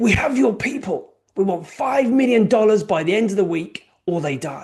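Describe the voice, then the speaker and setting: A put-on character voice comes across booming and raspy, fairly high in pitch and at a moderate pace. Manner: menacing.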